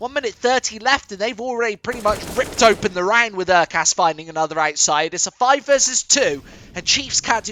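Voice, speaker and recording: A man's extremely high-pitched voice in an English accent, fairly quick with lively intonation, over noticeable background noise. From England. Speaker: esports caster. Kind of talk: live commentary. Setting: studio. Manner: animated.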